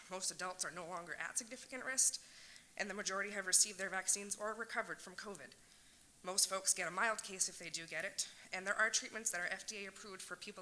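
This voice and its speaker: The delivery is very fast, with a bright, sharp tone and fairly even intonation. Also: woman. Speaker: parent speaking at public comment. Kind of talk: prepared public comment. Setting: public meeting.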